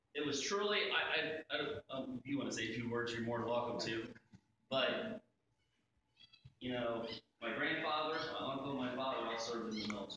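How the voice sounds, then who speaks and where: A man with an American accent talks at a fairly quick pace, with ordinary pitch variation and long, frequent pauses. Strong room echo and light background noise fill the recording. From Ohio, USA. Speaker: school superintendent. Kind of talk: ceremonial presentation speech. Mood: warm, respectful. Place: hall. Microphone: camera far.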